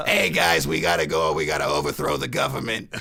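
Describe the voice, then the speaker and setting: A man's put-on character voice, very deep and raspy, at a fairly quick pace. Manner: urgent, conspiratorial.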